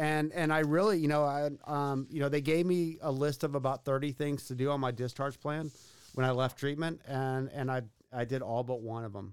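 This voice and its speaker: At a moderate pace and with fairly even intonation, a normal speaking voice comes through with an American accent. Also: man, fairly high pitch for a man. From Texas, Katy near Houston. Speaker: recovering addict, behavioral health compliance worker. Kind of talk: testimony. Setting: studio.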